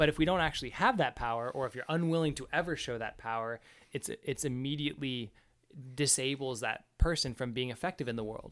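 Speaking at a fairly quick pace, a man uses a normal speaking voice with medium pitch and ordinary pitch variation. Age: 20s. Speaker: podcast host. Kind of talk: casual book discussion.

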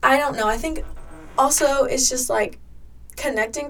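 A woman with a plain, everyday voice, lively intonation and a moderate pace. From US South, Georgia. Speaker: college student athlete. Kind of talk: casual interview chat.

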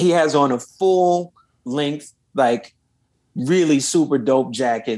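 With an American accent, a man talks very slowly in a fairly high pitch with ordinary variation, leaving long, frequent pauses while his loudness stays very even. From Los Angeles, US. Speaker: saxophonist and singer. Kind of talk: interview.

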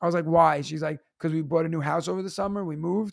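The speaker sounds animated, with a New York accent. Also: man. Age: 30s. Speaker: teacher and stand-up comedian. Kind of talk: casual chat.

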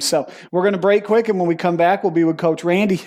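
Someone speaks at a very fast pace with an American accent. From Western New York. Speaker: podcast host and coach. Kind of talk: casual interview conversation.

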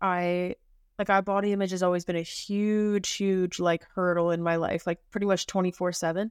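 A woman at medium pitch with a plain, everyday voice, dry, close sound with no echo, and a very clean recording over a silent background. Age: 20s. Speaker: podcast co-host. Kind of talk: casual chat.

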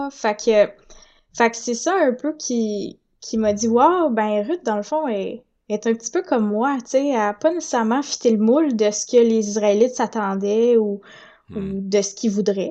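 This woman talks at a fairly slow pace with a fairly high pitch. Her tone is dark and mellow. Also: ordinary pitch variation. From Quebec (Saint-Hyacinthe, Montérégie). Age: 20s. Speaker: audiobook narrator. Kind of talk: interview.

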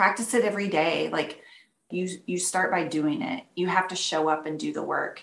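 At a moderate pace, a woman with a fairly low pitch and ordinary pitch variation speaks in an unremarkable speaking voice. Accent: American. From Texas, near Dallas. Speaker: painter. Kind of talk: interview.

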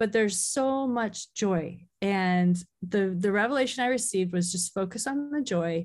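A woman speaks in a plain, everyday voice at medium pitch with ordinary pitch variation and a fairly slow pace. The background is quiet. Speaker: author. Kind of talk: casual interview chat.

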